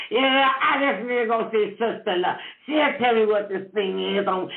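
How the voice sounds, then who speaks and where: Loud and animated, a woman with an American accent speaks over noticeable background noise. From Cleveland, Ohio, US. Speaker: talk show host. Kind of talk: interview / casual chat. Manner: loud and boisterous.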